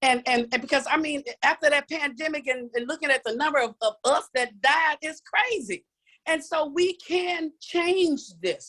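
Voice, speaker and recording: Her tone bright and sharp, a woman talks in an animated way with very wide pitch swings. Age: 60s. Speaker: challenge participant giving testimony. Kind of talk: testimony. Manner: halting.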